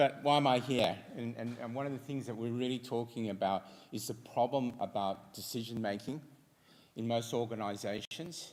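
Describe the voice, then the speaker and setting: A man's medium-pitched voice with an Australian accent and fairly even intonation. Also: moderate pace. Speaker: fintech entrepreneur. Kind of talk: conference presentation.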